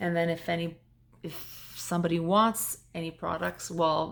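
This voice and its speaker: In a very clean recording with a silent background, a woman with a fairly low pitch talks at a fairly slow pace. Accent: French. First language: French. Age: 40s. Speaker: vlogger. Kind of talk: personal testimony vlog. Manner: halting, with fillers.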